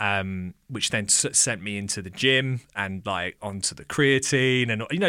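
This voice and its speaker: The speaker has an English accent and keeps a fairly slow pace. The recording is very clean, with a silent background. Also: man. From England. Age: 30s. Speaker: drummer and music educator. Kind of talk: casual chat.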